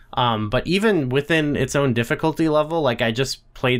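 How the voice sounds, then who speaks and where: On a very clean recording with a silent background, a man talks at a fairly quick pace. He has a normal speaking voice with ordinary pitch variation. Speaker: podcast host. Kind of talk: casual chat.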